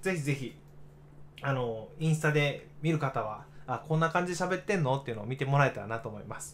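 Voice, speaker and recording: A man's fairly high, somewhat breathy voice, with ordinary pitch variation and a fairly quick pace. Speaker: digital marketer, radio livestream host. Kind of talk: casual livestream radio talk. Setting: solo livestream reading chat. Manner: stumbling, many fillers.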